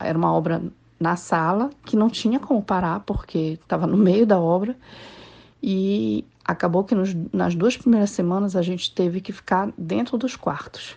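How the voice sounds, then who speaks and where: A woman's dark, mellow voice at a medium pitch and moderate pace, with ordinary pitch variation. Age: 40s. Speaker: civil engineer. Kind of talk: interview.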